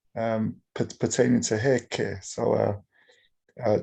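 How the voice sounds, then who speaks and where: Over a quiet background, a man talks with an English accent. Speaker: startup founder. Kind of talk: audience question. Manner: halting, stammering.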